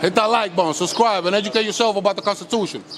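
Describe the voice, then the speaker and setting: A man speaks loudly and very fast in a high pitch with fairly even intonation over noticeable background noise. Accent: American. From Los Angeles, US. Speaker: YouTuber filming police and public encounters. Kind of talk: confrontational street talk to camera. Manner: strong forceful tone.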